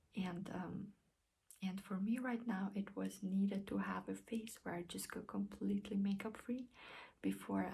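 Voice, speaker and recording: A woman speaks at a fairly slow pace with a non-native accent. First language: not English. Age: 20s. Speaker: beauty vlogger. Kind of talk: casual vlog talk. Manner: hesitant, many fillers; careful, clear.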